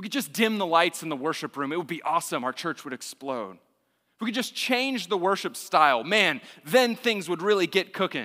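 A man with an American accent speaks at a high pitch in a bright, sharp tone, his pitch swinging very widely. He moves at a fairly quick pace in a very clean recording with a silent background. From Texas, Austin. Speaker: university student minister. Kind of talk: sermon. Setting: church.

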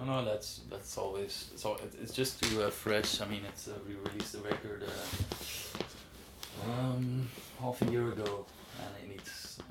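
Over noticeable background noise and audible room echo, a man talks at a fairly slow pace in a fairly low pitch, with fairly even intonation and big swings in loudness. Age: 20s. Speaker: musician. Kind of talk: interview. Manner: halting.

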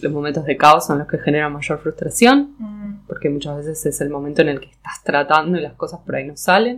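A woman with a very deep, low pitch and ordinary pitch variation talks with hardly any pauses, her loudness swinging widely. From Argentina, Patagonia (Neuquén). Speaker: textile designer. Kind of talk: casual interview. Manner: hesitant, many fillers.

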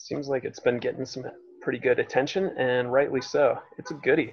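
A man speaks quietly. His pitch is medium. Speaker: punk musician and roadie. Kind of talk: casual chat. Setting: video call.

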